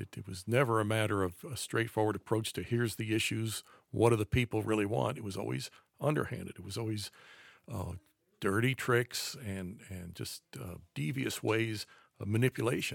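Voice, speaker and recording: In an American accent, a man talks at a fairly quick pace with vocal fry, a fairly low pitch and ordinary pitch variation, in a dry, close sound with no echo on a very clean recording with a silent background. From US, raised around the country. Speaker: conservative author and commentator. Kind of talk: casual chat.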